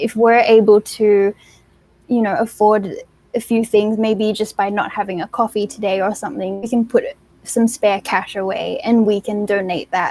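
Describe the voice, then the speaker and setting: A woman with an Australian accent, fairly high in pitch, at a moderate pace with fairly even intonation. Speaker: beauty pageant contestant. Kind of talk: interview.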